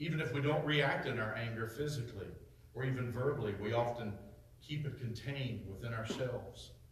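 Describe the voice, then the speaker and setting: Over noticeable background noise, a man with a medium pitch and a warm tone talks at a fairly quick pace with fairly even intonation. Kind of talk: sermon. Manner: emphatic, pushes points with rhetorical questions and repetition.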